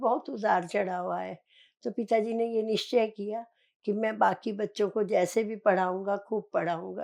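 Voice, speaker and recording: A woman speaks with a dark, mellow tone and fairly even intonation. The background is quiet. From central India, Chhindwara district, Madhya Pradesh. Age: 70s. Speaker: meditation practitioner. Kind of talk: life story interview.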